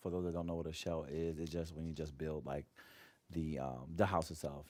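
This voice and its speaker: Quiet and very deep, low-pitched, a man talks at a moderate pace. His tone is dark and mellow. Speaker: gaming streamer. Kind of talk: casual live stream chat. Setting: home, early morning stream. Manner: quiet, hushed.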